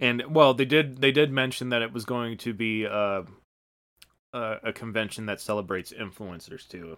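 A man's unremarkable speaking voice at medium pitch, with ordinary pitch variation, a moderate pace and big swings in loudness. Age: 40s. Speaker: podcast co-host. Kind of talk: casual chat.

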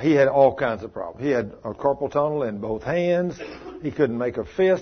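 A man speaks with lively intonation and a fairly high pitch. His delivery is fairly slow and somewhat breathy. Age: 60s. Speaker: preacher leading a healing school. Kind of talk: sermon. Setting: church meeting with live audience.

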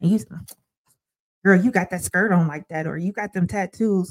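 With a dark, mellow tone and fairly even intonation, a woman speaks at a medium pitch in a dry, close sound with no echo. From Ohio, Sandusky. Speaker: licensed therapist and church elder. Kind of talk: casual interview chat.

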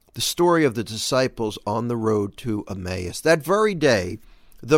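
A man's voice with very wide pitch swings, in a very clean recording with a silent background. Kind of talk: scripture reading in a daily devotional, steady and reverent, with a plain, even delivery. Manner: measured, earnest, conversational; time-conscious, brisk.

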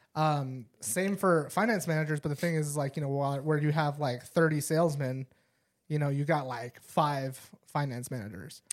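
A normal speaking voice at a moderate pace. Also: man, fairly high pitch for a man, ordinary pitch variation. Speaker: podcast host. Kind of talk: casual chat.

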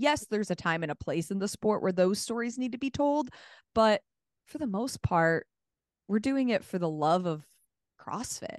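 Against a quiet background with a dry, close sound and no echo, a woman with a fairly high pitch speaks in an animated tone at a moderate pace, with very wide pitch swings and long, frequent pauses. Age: 20s. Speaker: CrossFit sideline reporter and broadcaster. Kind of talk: casual interview chat.

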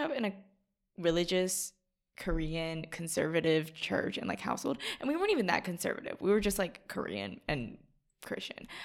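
A woman speaks in an unremarkable speaking voice. Her pitch sits fairly low and her pace is fairly quick. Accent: American. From US South, Atlanta, Georgia. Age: young. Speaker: college student. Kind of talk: casual chat.

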